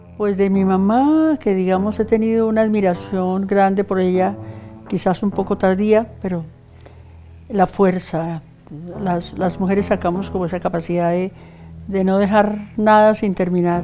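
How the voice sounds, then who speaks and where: Over music in the background, a woman speaks at a fairly slow pace with a medium pitch and ordinary pitch variation. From Colombia, Santander. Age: 70s. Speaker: poet and theatre artist. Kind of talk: interview testimony.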